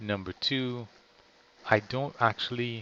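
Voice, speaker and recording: A man speaks at a very slow pace. His intonation is monotone and flat. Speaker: vlogger. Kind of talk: casual monologue. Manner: slow with long pauses; halting, many fillers.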